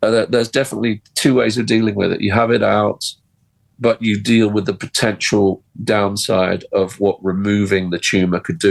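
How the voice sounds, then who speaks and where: An ordinary speaking voice comes through dry and close with no echo, at a moderate pace with very even loudness and fairly even intonation. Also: man. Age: 60s. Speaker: musician and record label boss. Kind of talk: radio interview.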